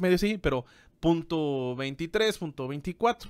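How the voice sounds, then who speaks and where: A man speaks in a high voice with lively intonation. The background is quiet. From Mexico. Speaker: business podcast co-host and teacher; podcast co-host. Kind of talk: casual explanatory chat. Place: office. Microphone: studio mic.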